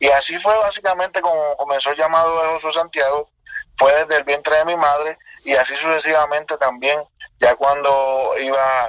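A man with an unremarkable speaking voice speaks at a fairly slow pace. His pitch is fairly high and his intonation fairly even. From Puerto Rico, north coast. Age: 20s. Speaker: evangelist preacher. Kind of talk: interview conversation.

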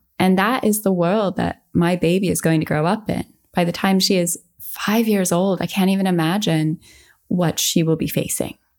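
Over a silent background in a very clean recording, a woman with an ordinary speaking voice talks at medium pitch and a moderate pace, with fairly even intonation and very even loudness. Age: 30s. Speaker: health journalist and content creator. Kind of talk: casual interview.

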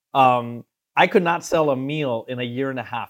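A very clean recording of a male speaker, the background silent. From Venezuela. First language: Spanish. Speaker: entrepreneur. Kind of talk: interview.

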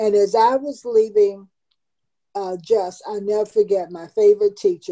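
A woman speaks with an American accent in a dark, mellow tone. Her loudness swings widely, and her pitch variation is ordinary. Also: medium pitch for a woman, moderate pace. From US South, Tampa, Florida. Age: 70s. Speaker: community nonprofit founder. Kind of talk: interview, personal life story.

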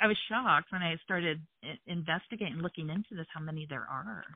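An unremarkable speaking voice from a woman with an American accent, fairly quick in pace and lively in intonation. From US Midwest, Hamilton, Ohio near Cincinnati. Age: 50s. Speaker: journalist. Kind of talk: interview.

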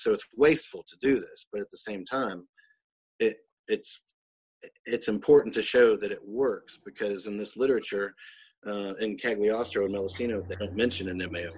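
The loudness of a man's voice rises and falls sharply. He keeps to a moderate speed. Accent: Southern US. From US South, Mississippi. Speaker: author. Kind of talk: casual interview.

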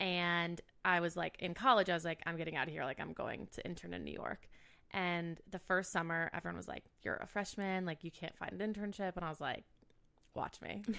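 A woman with an American accent speaks at a fairly quick pace with a fairly low pitch, a bright, sharp tone and fairly even intonation. The recording is very clean, with a silent background. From US Midwest, suburbs of Cleveland, Ohio. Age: 20s. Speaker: podcast guest. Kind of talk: casual chat. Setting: recording in person.

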